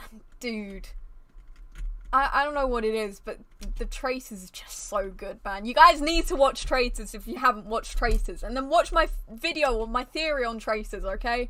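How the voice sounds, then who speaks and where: A woman projects a raised, animated voice with a high pitch and a bright, sharp tone. Her lively intonation and big swings in loudness come at a moderate pace. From British. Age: 18. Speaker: streamer. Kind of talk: casual chat. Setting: live stream.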